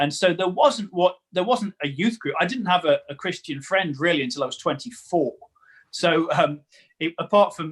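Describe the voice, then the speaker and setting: Speaking in a Staffordshire accent, a man has a fairly high pitch. His intonation is lively and his pace moderate. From English Midlands, Newcastle-under-Lyme, Staffordshire. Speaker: comedian and preacher. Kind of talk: casual interview chat.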